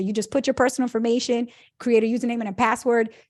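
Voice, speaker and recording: Against a quiet background, a woman speaks with a fairly high pitch. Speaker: personal finance author and educator. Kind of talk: interview. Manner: fast.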